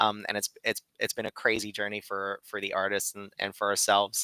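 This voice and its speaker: A man with a fairly low pitch and a bright, sharp tone talks at a fairly quick pace, the sound dry and close with no echo. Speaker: animation studio representative. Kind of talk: presentation. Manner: fast.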